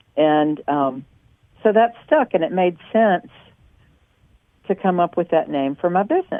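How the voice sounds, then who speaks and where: A woman with a Southern accent speaks fairly slowly at a fairly low pitch. Her intonation is lively, broken up by long, frequent pauses. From US South, North Carolina. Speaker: small business owner. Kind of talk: interview.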